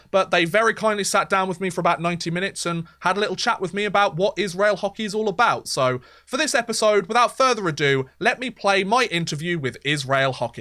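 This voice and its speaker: A man's very fast, raised and projected voice in a British accent, high-pitched with a bright, sharp tone, lively intonation and hardly any pauses, on a very clean recording with a silent background. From Britain. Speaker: podcast host. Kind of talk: podcast interview.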